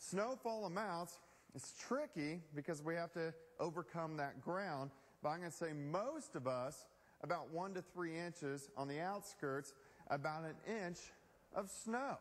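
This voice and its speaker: A man speaks in a high voice. His pace is fairly slow. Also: ordinary pitch variation. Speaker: television chief meteorologist. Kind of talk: TV weather forecast broadcast. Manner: conversational, on-air. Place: studio. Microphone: lapel.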